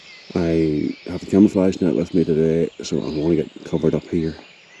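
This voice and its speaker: Amid noticeable background noise, a man speaks quietly with a very deep, low pitch. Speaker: wildlife photographer. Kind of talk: vlog narration. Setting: outdoors in a forest.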